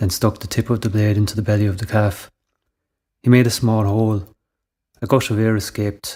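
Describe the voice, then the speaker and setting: The recording is very clean, with a silent background. A man with an Irish accent talks at a fairly quick pace in a fairly low, somewhat breathy voice. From Ireland, Tipperary. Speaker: writer. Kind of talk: short story reading.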